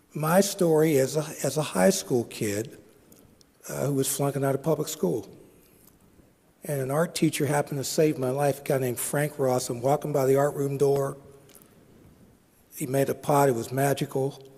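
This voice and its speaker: This man speaks with an American accent at a fairly high pitch, with a dark, mellow, somewhat breathy tone, ordinary pitch variation, a moderate pace, and long, frequent pauses. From Pittsburgh, Pennsylvania, US. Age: 60s. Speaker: social entrepreneur, speaker. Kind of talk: conference talk.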